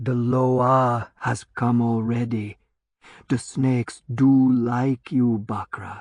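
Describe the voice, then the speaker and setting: A put-on character voice, low-to-middle in pitch, very slow and flat in a monotone. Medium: read story. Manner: soft, mocking, unhurried.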